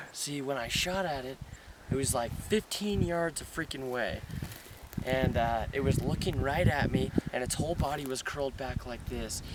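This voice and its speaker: A man with a fairly high pitch and ordinary pitch variation talks at a moderate pace while noticeable background noise continues. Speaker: hunter and outdoor vlogger. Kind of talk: excited field vlog. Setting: outdoors. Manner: animated.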